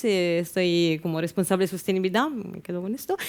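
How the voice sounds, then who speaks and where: A woman at a moderate pace, in an Italian accent. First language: Italian (speaking Spanish). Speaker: sustainability manager. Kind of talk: event presentation.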